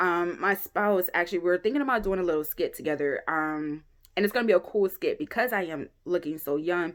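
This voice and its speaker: At a fairly quick pace, a woman speaks with a fairly low pitch and ordinary pitch variation. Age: 30s. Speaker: YouTuber. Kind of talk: casual vlog monologue.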